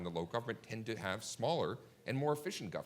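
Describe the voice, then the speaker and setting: A very fast-talking man with an American accent, fairly low pitch and lively intonation. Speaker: policy analyst. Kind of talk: panel discussion. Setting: conference stage with audience.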